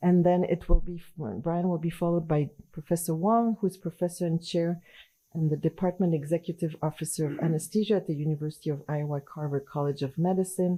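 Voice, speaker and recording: A woman with a slight French accent speaks in a fairly low, dark, mellow voice with fairly even intonation. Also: fairly quick pace. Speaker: anesthesiology professor and journal editor. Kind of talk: conference presentation. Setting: conference session with audience.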